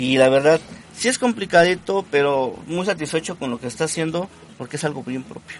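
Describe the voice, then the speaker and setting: Over noticeable background noise, a man with a fairly high voice and lively intonation speaks with big swings in loudness. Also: fairly quick pace. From Mexico, Puebla state. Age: 30s. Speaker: ska musician, band leader. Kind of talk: casual radio interview. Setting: live radio studio.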